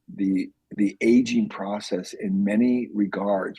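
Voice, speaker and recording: A man speaks in a dry, close sound with no echo. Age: 60s. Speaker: lean manufacturing author and entrepreneur. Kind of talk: podcast interview. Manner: animated.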